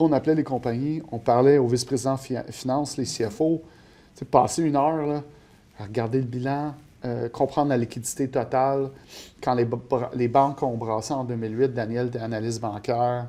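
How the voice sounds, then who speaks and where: With a dark, mellow tone, a man speaks at a medium pitch and moderate pace, keeping his intonation fairly even. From Quebec, Montreal north shore. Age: 40s. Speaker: portfolio manager. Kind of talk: interview. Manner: hesitant, many fillers.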